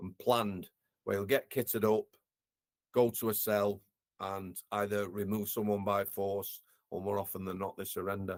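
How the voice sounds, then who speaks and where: A man with a Yorkshire accent, fairly low pitch and monotone, flat intonation, at a moderate pace with long, frequent pauses, in a very clean recording with a silent background and a dry, close sound with no echo. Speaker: former prison officer, care worker. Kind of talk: interview, personal storytelling.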